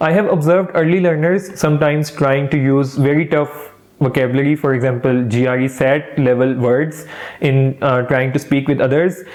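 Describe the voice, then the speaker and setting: A man talks at a moderate pace and fairly high pitch, with fairly even intonation, very even loudness and noticeable background noise. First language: not English. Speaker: English teaching youtuber. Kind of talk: tutorial. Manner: casual, friendly.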